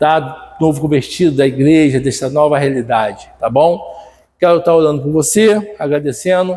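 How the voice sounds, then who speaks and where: At a moderate pace, a man speaks in a dark, mellow tone with a fairly high pitch. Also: ordinary pitch variation. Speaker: Bible school teacher. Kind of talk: Bible lesson video. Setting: recorded video lesson.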